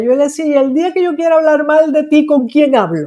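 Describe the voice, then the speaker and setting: A woman talks at a fairly quick pace. She speaks with a Venezuelan accent. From Venezuela, Maracaibo. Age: 60s. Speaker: psychologist. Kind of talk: interview.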